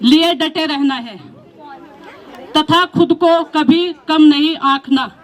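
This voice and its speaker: Crowd noise fills the background as a woman speaks at a high pitch. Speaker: school teacher. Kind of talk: farewell speech. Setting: school retirement ceremony.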